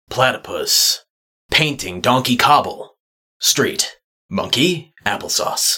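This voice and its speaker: A man talks fairly slowly in a put-on, raspy character voice. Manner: mumbling gibberish.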